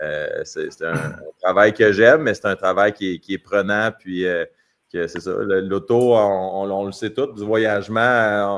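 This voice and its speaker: This is an ordinary speaking voice from a man, fairly low in pitch. He speaks at a fairly slow pace with fairly even intonation. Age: 40s. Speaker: hockey player. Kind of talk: podcast interview.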